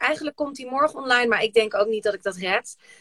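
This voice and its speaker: The recording is dry and close with no echo, carrying a woman's high-pitched voice. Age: 40s. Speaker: podcast host. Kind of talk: casual chat. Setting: Instagram live video from a shed.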